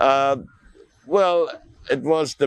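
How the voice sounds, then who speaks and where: A man speaks with an Austrian accent. His intonation is lively. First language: German. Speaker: artist. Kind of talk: interview.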